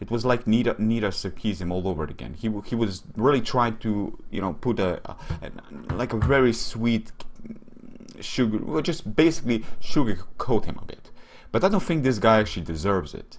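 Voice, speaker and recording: Speaking at a moderate pace with lively intonation, a man of medium pitch with a Slovene accent is heard with audible room echo. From Slovenia. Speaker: YouTube commentator. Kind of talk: casual commentary video. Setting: webcam recording. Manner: hesitant, many fillers.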